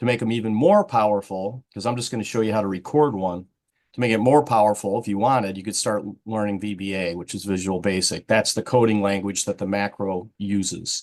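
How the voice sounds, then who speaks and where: Over a quiet background, a man talks at a fairly quick pace with fairly even intonation and a fairly low pitch. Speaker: IT director presenting a training webinar. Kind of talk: tutorial. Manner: fast.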